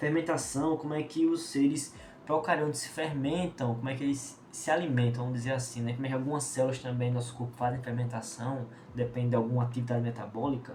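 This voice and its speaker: A man talks very fast at a medium pitch with fairly even intonation. Audible room echo and noticeable background noise fill the recording. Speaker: biology teacher. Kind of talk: lecture.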